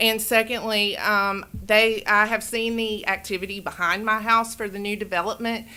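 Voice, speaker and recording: Bright and sharp in tone, a woman speaks at a medium pitch and a moderate pace. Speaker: resident speaking at public comment. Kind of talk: public comment at council meeting. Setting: city council meeting. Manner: halting.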